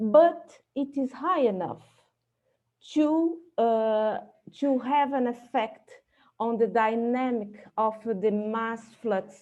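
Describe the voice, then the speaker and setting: A woman with a non-native accent speaks very slowly with long, frequent pauses, a dark, mellow tone and ordinary pitch variation. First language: not English. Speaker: astrophysicist. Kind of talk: conference talk. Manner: halting, many fillers.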